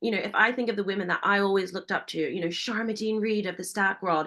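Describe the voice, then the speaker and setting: Medium pitch and ordinary pitch variation in a woman's voice. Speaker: business founder and keynote speaker. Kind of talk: webinar presentation. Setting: online webinar. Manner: fast.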